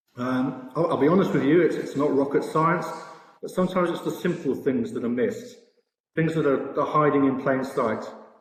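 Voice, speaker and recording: A man with a fairly high pitch talks at a fairly quick pace with lively intonation. Room echo is audible. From Britain. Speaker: sportsbook products director. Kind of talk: conference presentation. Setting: virtual expo presentation. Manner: hesitant, many fillers.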